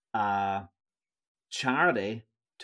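Over a silent background in a very clean recording, a man speaks at a fairly low pitch. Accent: Northern Irish. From Northern Ireland. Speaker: tour company founder. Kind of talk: interview.

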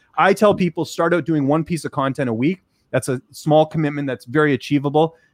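At a fairly quick pace, an ordinary speaking voice comes through with ordinary pitch variation, recorded dry and close with no echo against a quiet background. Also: man, fairly high pitch for a man. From Canada. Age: 30s. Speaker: combat sports journalist and commentator. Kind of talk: casual interview.

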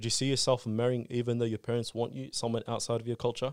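A man with an Australian accent talks at a very fast pace and medium pitch, his intonation monotone and flat. The recording is very clean with a silent background. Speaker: community youth guest. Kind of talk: casual chat.

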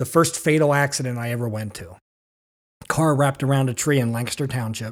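A man with an American accent talks at a moderate pace. His voice sits at medium pitch with ordinary pitch variation. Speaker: stadium announcer and police officer. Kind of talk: casual interview chat. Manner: lowers voice when announcing, for projection.

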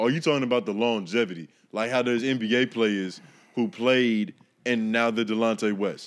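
Keeping his loudness very even, a man with a normal speaking voice talks at medium pitch and a moderate pace. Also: ordinary pitch variation. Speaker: guest podcaster. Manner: casual, slangy.

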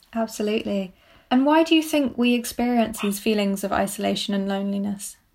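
Recorded very cleanly against a silent background, a woman speaks at a fairly quick pace in a fairly high pitch. Her voice is somewhat breathy, with ordinary pitch variation. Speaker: student podcast host. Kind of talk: interview questions, moderated.

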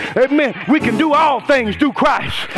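A man speaks at a fairly quick pace in an animated tone. Noticeable background noise can be heard. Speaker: preacher. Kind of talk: sermon. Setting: church. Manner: animated, call-and-response, rousing; loud, fervent, exhorting the congregation.

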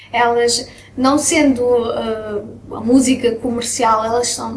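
The intonation is fairly even. Room echo can be heard. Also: woman. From Belgium (Brussels), moved to Portugal at 10. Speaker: singer. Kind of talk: casual interview. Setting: restaurant.

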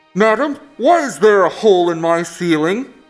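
Over faint background music, a man puts on a character voice, pitched high for a man and delivered at a moderate pace.

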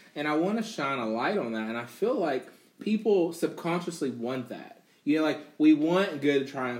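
A man's voice, an ordinary speaking voice, with lively intonation at a moderate pace. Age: 30s. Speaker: gamer and streamer. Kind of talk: casual chat.

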